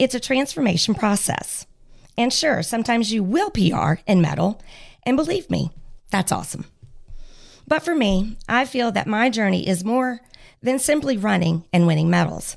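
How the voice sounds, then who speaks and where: A woman with an energetic tone and vocal fry talks at a moderate pace, her pitch swinging very widely between long, frequent pauses. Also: very even loudness. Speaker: guest from a running ministry. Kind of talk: casual chat; reading aloud.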